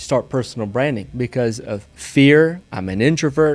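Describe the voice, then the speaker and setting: A man speaks with a Southern US accent. His pace is fairly slow. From US South, small town. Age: 30s. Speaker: real estate investor. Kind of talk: podcast interview.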